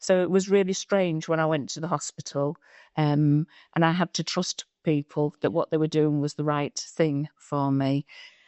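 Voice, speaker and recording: The pace is moderate. Intonation remains fairly even. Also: woman, very deep, low pitch for a woman. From Eritrea. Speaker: refugee sharing lived experience. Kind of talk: testimony. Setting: public board meeting. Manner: halting.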